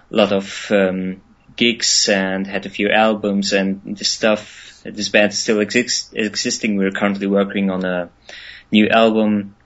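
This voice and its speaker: Speaking with a German accent, a man goes at a fairly slow pace. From Germany. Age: 20s. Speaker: musician. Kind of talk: interview. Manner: hesitant, many fillers.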